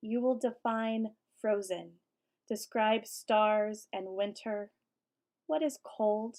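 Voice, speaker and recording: In an American accent, a woman with a fairly high pitch speaks at a very slow pace, leaving long, frequent pauses. Her intonation is fairly even, and the recording is very clean with a silent background. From Colorado and Virginia. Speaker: poet and English professor. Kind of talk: poetry reading.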